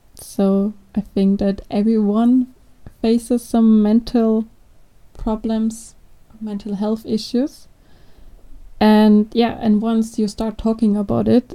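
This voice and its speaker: A woman's very slow, monotone delivery, flat in intonation, fairly high in pitch and dark, mellow in tone. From Austria. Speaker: product manager. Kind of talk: casual interview.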